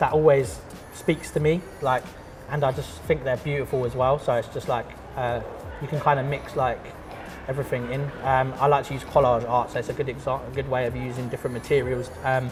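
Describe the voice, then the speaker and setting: A man with a London accent at a medium pitch and fairly quick pace, with long, frequent pauses, audible room echo and noticeable background noise. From Croydon, south London. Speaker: artist and school art teacher. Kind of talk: casual interview chat. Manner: casual, hesitant with fillers.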